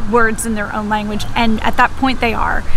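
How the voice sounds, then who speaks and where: A woman's fairly high voice with an American accent and fairly even intonation, set against audible room echo and music in the background. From United States. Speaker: English teacher. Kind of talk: educational explainer. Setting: outdoors in a park. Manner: casual, conversational.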